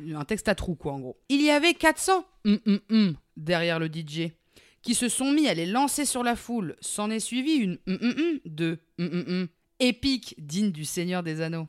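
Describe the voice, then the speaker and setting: A woman's medium-pitched voice at a very slow pace, with very wide pitch swings, in a dry, close sound with no echo and a very clean recording against a silent background. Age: 30s. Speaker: podcast co-host. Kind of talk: casual chat.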